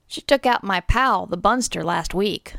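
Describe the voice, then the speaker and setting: A put-on character voice with a raspy texture. It moves at a moderate pace. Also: woman, medium pitch for a woman. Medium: read story. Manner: brusque, slangy.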